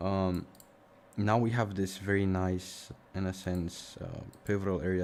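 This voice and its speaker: This man's voice is very deep and low. He speaks with a slight Romanian accent. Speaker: forex trading streamer. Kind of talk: live stream commentary. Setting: live stream. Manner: casual, thinking aloud.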